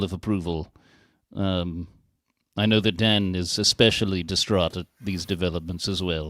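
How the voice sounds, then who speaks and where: This very clean recording, with a silent background, features a man with a very deep, low pitch. He talks at a moderate pace with fairly even intonation. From Wales. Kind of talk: casual chat.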